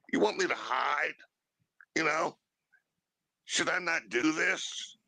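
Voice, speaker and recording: Speaking at a very slow pace, a man with a fairly high pitch uses lively intonation. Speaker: livestream guest. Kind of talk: casual chat. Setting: livestream.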